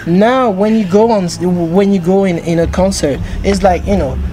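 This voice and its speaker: A woman with a French accent and ordinary pitch variation, over noticeable background noise. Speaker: interviewer. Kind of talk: interview. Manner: halting.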